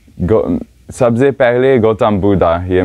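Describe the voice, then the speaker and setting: With a quiet background, a man speaks using lively intonation. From Switzerland. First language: not Hindi; learned Hindi four years ago (speaking Hindi). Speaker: foot pilgrim and yoga teacher. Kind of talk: interview; interview answer. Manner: halting, many hesitations. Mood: cheerful, relaxed. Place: tent. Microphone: lapel.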